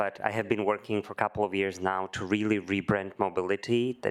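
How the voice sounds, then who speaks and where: A man's fairly low, fairly quick voice with a Slovak accent. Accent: non-American, Slovak. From Slovakia. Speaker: corporate mobility head. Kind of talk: panel discussion.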